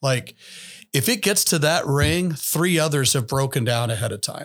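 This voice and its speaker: With an American accent, a man speaks at a moderate pace in a fairly high pitch and a normal speaking voice. His intonation is lively, and the recording is very clean with a silent background. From US, Mennonite community. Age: 50s. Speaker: pastor and ethics teacher, podcast co-host. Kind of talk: casual chat.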